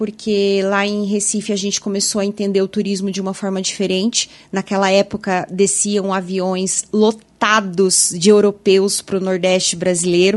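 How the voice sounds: With a southern Brazilian accent, a woman talks at a moderate pace in a monotone, flat intonation. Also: medium pitch for a woman, hardly any pauses.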